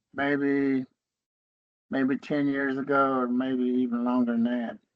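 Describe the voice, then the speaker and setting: Speaking in an Appalachian accent, a man talks at a fairly slow pace in a medium pitch, with very even loudness and a monotone, flat intonation. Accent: Appalachian Southern US English. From western North Carolina, US. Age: 70s. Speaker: Cherokee elder and educator. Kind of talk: interview conversation.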